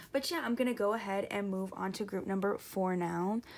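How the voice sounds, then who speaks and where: A woman's voice at a medium pitch, with ordinary pitch variation. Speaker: tarot card reader. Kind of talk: tarot reading to camera. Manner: loud; hesitant, many fillers.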